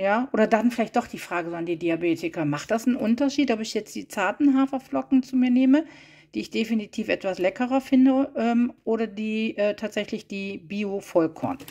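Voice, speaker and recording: Against a quiet background, a woman speaks at a moderate pace with a fairly high pitch. Her tone is dark and mellow, and her intonation is lively. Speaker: vlogger. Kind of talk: casual haul video narration. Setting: at car trunk. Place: kitchen. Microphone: phone near.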